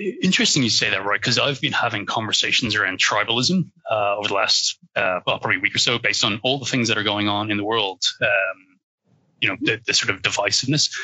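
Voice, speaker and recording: A man with an Irish accent, fairly low pitch, ordinary pitch variation, very even loudness and a very fast pace. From Ireland. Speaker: cybersecurity professional. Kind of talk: interview conversation.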